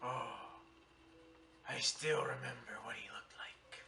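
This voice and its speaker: A man whispers in a put-on character voice. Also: moderate pace. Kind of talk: campfire tall tale. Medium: voice reel. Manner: theatrical, dramatic.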